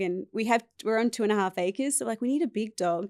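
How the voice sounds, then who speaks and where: A woman with an Australian accent talks at a very fast pace, the sound dry and close with no echo. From Australia, East Coast. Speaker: podcast guest. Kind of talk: casual interview chat.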